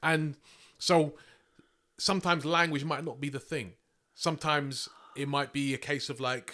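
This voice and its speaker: Bright and sharp in tone, a man speaks with a British accent. He keeps a moderate pace and fairly even intonation. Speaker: spoken word poet. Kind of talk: casual chat. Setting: podcast recording.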